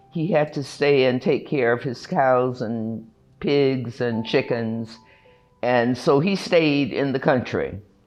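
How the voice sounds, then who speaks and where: Music plays in the background as a woman speaks at a very slow pace. Her pitch is very deep and low, with ordinary pitch variation. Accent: American. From US South, North Carolina (Raleigh). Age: 80s+. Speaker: retired schoolteacher. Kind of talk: oral history interview. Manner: reflective, with fillers.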